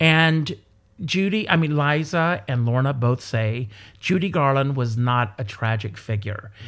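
A man speaks in a plain, everyday voice at medium pitch and a fairly slow pace. His intonation is lively, while his loudness stays very even. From South Carolina, US. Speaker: entertainer and performer. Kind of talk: casual interview chat.

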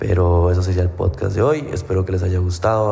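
A man with a very deep, low pitch. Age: 20s. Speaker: fitness coach and podcast host. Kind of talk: casual monologue.

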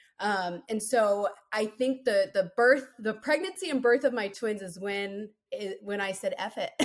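A woman with an American accent, a fairly high pitch, ordinary pitch variation and a fairly slow pace. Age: 30s. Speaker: podcast guest, mother of four. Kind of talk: casual interview, personal story. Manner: animated, frequent laughter.

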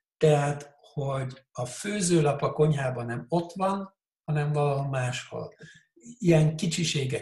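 A man speaks very slowly in a fairly high pitch with a somewhat breathy quality. His intonation stays fairly even. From Switzerland, Hungarian parents. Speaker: coach. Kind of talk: casual interview.

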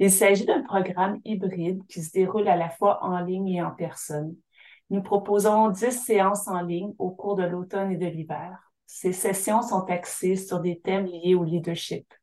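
A woman's dark, mellow tone at medium pitch, fairly slow in pace, with fairly even intonation. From Syilx Nation, interior British Columbia, Canada. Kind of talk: interview. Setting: remote call from home by the fireplace.

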